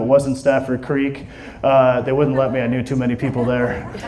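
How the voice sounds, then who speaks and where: A man's voice over noticeable background noise. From Washington State, Aberdeen. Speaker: stand-up comedian. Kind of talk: stand-up. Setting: stage with audience. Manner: animated.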